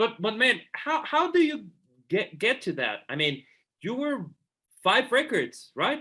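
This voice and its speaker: A man's raised, projected voice at an extremely high pitch, bright and sharp in tone and nervous, with very wide pitch swings, a fairly slow pace and long, frequent pauses. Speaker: podcast host. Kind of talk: interview question.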